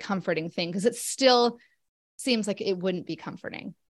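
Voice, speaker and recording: An ordinary speaking voice from a woman, with ordinary pitch variation, on a very clean recording with a silent background. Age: 40s. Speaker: occupational therapist living with rheumatoid arthritis. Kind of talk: interview.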